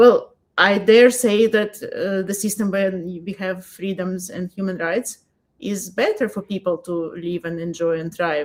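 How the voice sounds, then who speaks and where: A woman in a Russian accent, fairly slow, with fairly even intonation. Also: medium pitch for a woman. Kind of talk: casual interview chat.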